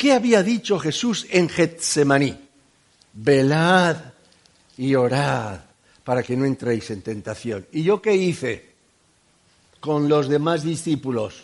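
Very slowly and with long, frequent pauses, a man with a Catalan accent speaks at a fairly high pitch that swings very widely. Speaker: preacher. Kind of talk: sermon.

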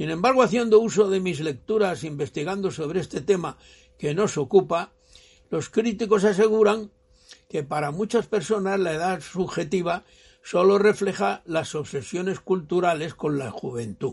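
The speaker is a man with a high pitch. He keeps a moderate pace and ordinary pitch variation. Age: 90s. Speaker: elderly father sharing reflections. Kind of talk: prepared monologue.

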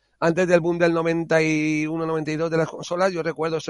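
An ordinary speaking voice from a man, moderate in pace and fairly high in pitch. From Spain, Alicante (Monóvar). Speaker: home care worker and hobbyist game developer. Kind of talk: casual interview.

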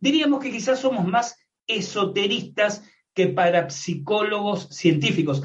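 A man talks with lively intonation at a fairly slow pace. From Argentina. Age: 60s. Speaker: paranormal researcher and writer. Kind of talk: interview with explanatory lecturing.

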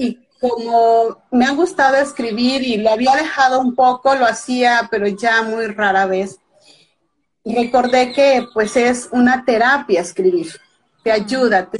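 A woman at a fairly high pitch and fairly slow pace, in an ordinary speaking voice. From Mexico (Veracruz). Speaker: author. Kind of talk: casual interview.

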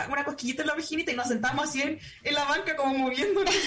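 A woman speaks at a high pitch with ordinary pitch variation. Audible room echo and noticeable background noise come through. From Chile. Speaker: podcast host. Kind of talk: casual chat; lecture.

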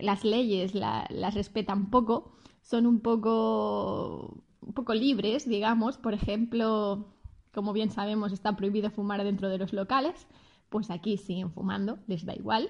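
The delivery is somewhat breathy, at a fairly slow pace with fairly even intonation. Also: woman, medium pitch for a woman. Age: 30s. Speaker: customer service worker. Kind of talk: interview answers.

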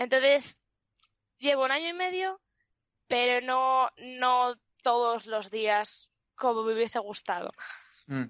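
High pitch from a woman, dry and close with no echo. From Spain, León. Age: 20s. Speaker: streamer. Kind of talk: interview.

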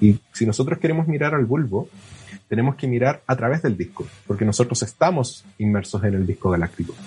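A man with a Chilean accent talks at a fairly quick pace and medium pitch, with lively intonation. His tone is dark and mellow, and somewhat breathy. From southern Chile (Puerto Williams, Puerto Montt). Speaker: astronomy PhD student. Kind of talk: casual interview. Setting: remote call.

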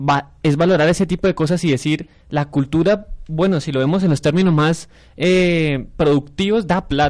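Moderately paced and very even in loudness, a man talks in a normal speaking voice with fairly even intonation. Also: fairly high pitch for a man. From Colombia, Santander (San Gil). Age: 20s. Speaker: university student and council candidate. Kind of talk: radio panel discussion.

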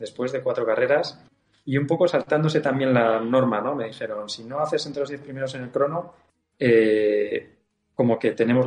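With an ordinary speaking voice, a man at medium pitch keeps a moderate speed and ordinary pitch variation. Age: 40s. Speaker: racing driver. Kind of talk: casual chat.

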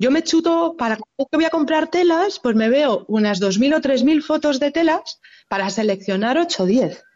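A woman's high-pitched, animated voice at a moderate pace, with very wide pitch swings and very even loudness. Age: 40s. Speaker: fabric shop owner. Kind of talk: interview.

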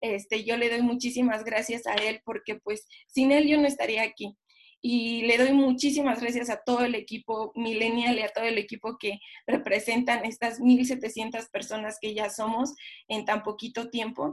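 At a moderate pace, a woman speaks in a monotone, flat intonation at a fairly high pitch. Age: 20s. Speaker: direct sales distributor. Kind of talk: testimony.

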